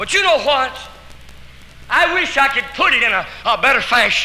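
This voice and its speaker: A man's extremely high-pitched voice at a fairly slow pace, with ordinary pitch variation, audible room echo and noticeable background noise. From Arkansas, US South. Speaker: evangelist. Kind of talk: testimony. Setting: church, live audience. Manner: animated.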